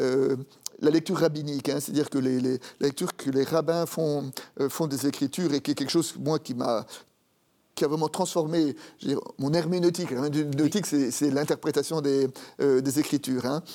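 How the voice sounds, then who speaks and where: At a moderate pace, a man with a fairly high pitch speaks in a dark, mellow tone with fairly even intonation. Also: very clean recording, silent background. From France, Paris. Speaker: Protestant pastor and theologian. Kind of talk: interview about faith and his Bible commentary. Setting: TV studio.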